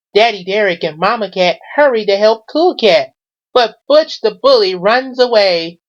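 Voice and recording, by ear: Lively intonation marks this reading aloud in a natural voice over a quiet background.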